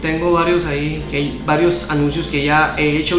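Over clear background music and audible room echo, a man talks at a moderate pace. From Navojoa, Sonora, Mexico. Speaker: amateur announcer, live streamer. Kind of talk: interview answer. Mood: earnest, appealing for help. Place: home room. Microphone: handheld.

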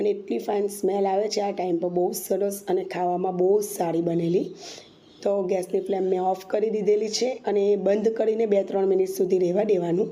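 A woman's medium-pitched voice, monotone and flat in intonation, with very even loudness and audible room echo. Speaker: cooking channel host. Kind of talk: cooking tutorial.

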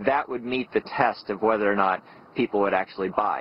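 A man talks with fairly even intonation. The sound is dry, with no echo. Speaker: company founder interviewee. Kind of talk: documentary interview. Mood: calm, matter-of-fact. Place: open country.

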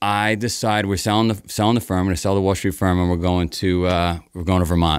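In an American accent, the speaker talks at a very fast pace, the sound dry with no echo and the background quiet. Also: man, very deep, low pitch for a man. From New York, Queens; New York. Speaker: race founder; podcast guest. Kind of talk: storytelling interview. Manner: animated. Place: studio. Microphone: studio mic.

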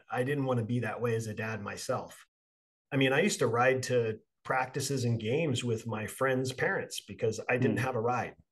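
A man talks at a moderate pace with an American accent. His voice is medium in pitch and somewhat breathy. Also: ordinary pitch variation. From California. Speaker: podcast host and Marine veteran. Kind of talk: interview.

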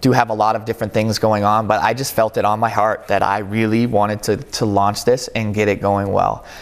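A man with an American accent speaks at a fairly quick pace with hardly any pauses. His pitch is fairly low and his intonation is monotone and flat. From western Massachusetts. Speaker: retired basketball player; interview guest. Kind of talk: interview. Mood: warm, reflective. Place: studio. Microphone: lapel.

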